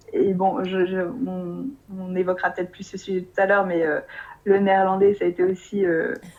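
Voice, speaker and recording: Against noticeable background noise, a woman talks at a moderate pace in a flat, monotone, medium-pitched voice. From France. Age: 20s. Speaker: expatriate interviewee. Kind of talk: interview. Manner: hesitant with many fillers.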